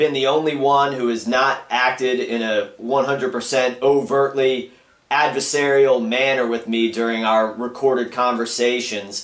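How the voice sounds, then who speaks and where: A man speaking fairly slowly in a room with audible echo, the background quiet. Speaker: caller. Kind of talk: phone conversation. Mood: earnest, complaining. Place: home room.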